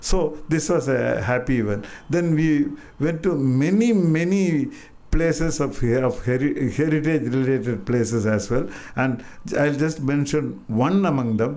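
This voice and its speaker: A man with an Indian accent speaks at a fairly slow pace, fairly high in pitch, with a dark, mellow tone, lively intonation and very even loudness. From Madurai, India. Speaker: artist and writer. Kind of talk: public talk. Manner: hesitant, reminiscing.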